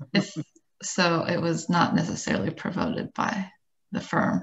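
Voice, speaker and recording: This woman talks very slowly at a fairly low pitch. The background is quiet. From Dayton, Ohio; Ohio. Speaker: architect turned nonprofit educator; panelist. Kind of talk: panel discussion on video call. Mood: friendly, animated. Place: home room. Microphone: webcam.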